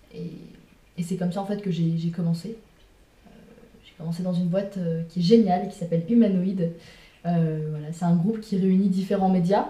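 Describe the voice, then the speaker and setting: Somewhat breathy and dark, mellow in tone, the voice moves at a moderate pace with fairly even intonation, long, frequent pauses, big swings in loudness and audible room echo. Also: woman, medium pitch for a woman. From France, Sarthe (Le Mans). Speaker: interview guest. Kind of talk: casual chat.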